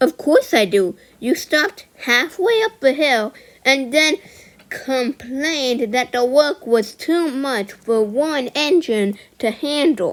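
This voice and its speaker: A woman's put-on character voice, high in pitch, at a fairly slow pace. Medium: audio drama. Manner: gentle, warm.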